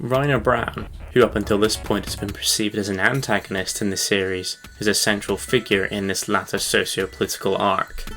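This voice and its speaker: Music plays in the background as a man speaks at a fairly quick pace. His pitch is fairly low, with ordinary variation. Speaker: video essayist. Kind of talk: scripted narration. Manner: soft-spoken. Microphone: poor audio quality, new to using a microphone.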